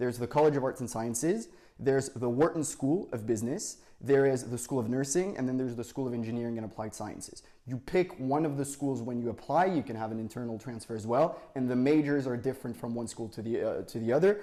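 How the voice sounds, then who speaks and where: A man's dark, mellow tone at a very fast pace, with hardly any pauses. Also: medium pitch for a man, ordinary pitch variation. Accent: French. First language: French. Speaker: university student. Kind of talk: interview. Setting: podcast.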